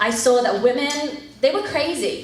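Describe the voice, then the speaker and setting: A woman with an American accent, against noticeable background noise and audible room echo. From England, rural village. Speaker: missionary leader. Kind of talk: testimony.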